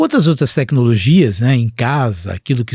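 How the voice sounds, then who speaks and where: A man's somewhat breathy voice with lively intonation at a moderate pace, dry and close with no echo, on a very clean recording with a silent background. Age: 60s. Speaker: physician and healthcare executive. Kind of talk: podcast interview.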